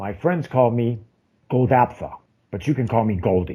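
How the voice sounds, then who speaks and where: Put-on character voice from a man, medium in pitch, at a moderate pace. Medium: actual play. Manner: throat-clearing, evasive.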